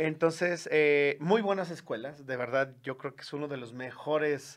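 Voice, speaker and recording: A man's fairly high-pitched, plain, everyday voice at a moderate pace, with ordinary pitch variation. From Mexico, León, Guanajuato. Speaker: TV and radio producer, musician. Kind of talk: interview.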